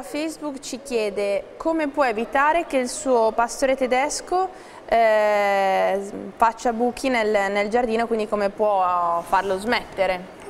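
At a very slow pace, a woman speaks with a fairly high pitch and lively intonation. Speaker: TV host. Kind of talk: live TV presenting. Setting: TV studio. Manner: formal.

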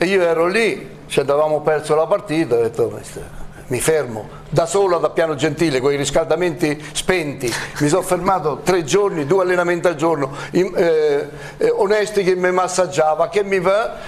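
A man with a high-pitched voice keeps his loudness very even over light background noise. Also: ordinary pitch variation, moderate pace. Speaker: former footballer pundit. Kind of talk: heated studio debate. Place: studio.

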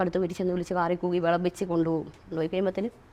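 A woman's fairly low-pitched voice is heard with noticeable background noise behind it. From Kerala, Kottayam district, later Chalakudy area. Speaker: social media personality. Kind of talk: interview.

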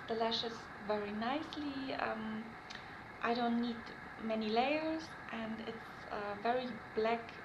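Over noticeable background noise, a woman with a non-native accent talks at a fairly slow pace, her fairly high pitch showing ordinary variation. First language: not English. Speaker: beauty vlogger. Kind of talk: casual talk to camera. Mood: cheerful, relaxed. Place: home room. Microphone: webcam.

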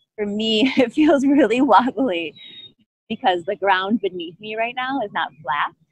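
Against a quiet background with a dry sound and no echo, a woman speaks at a fairly high pitch and a fairly slow pace in a calm, soothing tone. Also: lively intonation. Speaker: yoga instructor. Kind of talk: guided yoga class, cueing poses and breath in a calm, steady, encouraging voice. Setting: outdoors at a park, online class. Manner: calm, soothing, unhurried, encouraging. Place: open country.

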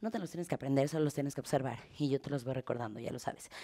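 The background stays quiet. This woman's voice has a dark, mellow tone. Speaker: fitness instructor. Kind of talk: workout class instruction. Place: home room.

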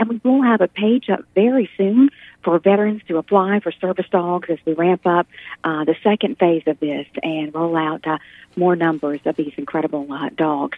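At a moderate pace, a woman talks in a normal speaking voice with a fairly low pitch. The sound is dry with no echo, and the background is quiet. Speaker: radio guest. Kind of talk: interview answer. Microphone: phone line.

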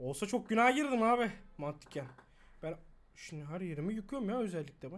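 A man speaks at a fairly quick pace in a high pitch, with very wide pitch swings. His loudness swings a lot, and he leaves long, frequent pauses. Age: young. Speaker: streamer. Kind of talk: casual live stream chat; sponsor mention.

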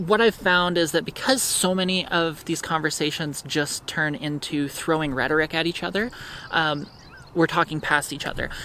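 The recording is dry with no echo, with light background noise. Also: moderate pace. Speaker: vlogger. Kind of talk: casual vlog chat. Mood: thoughtful, reflective. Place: garden. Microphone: camera far.

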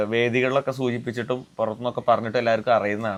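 A man talks in an ordinary speaking voice at medium pitch. His intonation stays fairly even. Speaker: folk vlogger. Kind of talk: vlog narration. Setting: outdoors, on a bike.

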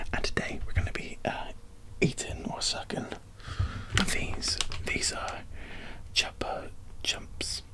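Speaking at a very slow pace with long, frequent pauses, a man talks over noticeable background noise. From British. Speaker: ASMR creator. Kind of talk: ASMR puzzle-solving video. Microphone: studio mic.

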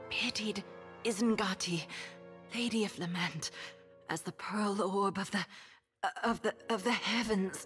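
Over clear background music, a wheezy, put-on character voice at a fairly high pitch speaks at a very slow pace with long, frequent pauses. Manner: wheezing, struggling to speak.

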